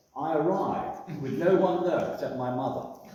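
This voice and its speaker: A man at a moderate pace, amid noticeable background noise and audible room echo. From northern England, Wirral, Cheshire. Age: 80s+. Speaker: retired publican. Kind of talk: interview, life story. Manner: hesitant, many fillers.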